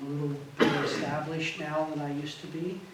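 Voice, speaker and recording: Amid noticeable background noise and audible room echo, a man with a fairly high pitch speaks at a fairly slow pace. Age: 70s. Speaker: photojournalist. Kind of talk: presentation Q&A. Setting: gallery talk with audience. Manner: halting, many fillers.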